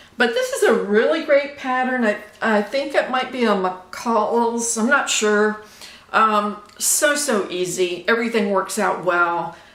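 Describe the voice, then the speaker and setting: In an American accent, a woman speaks at a fairly high pitch with ordinary pitch variation. Audible room echo and noticeable background noise fill the recording. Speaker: sewing vlogger. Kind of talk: casual chat. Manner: halting.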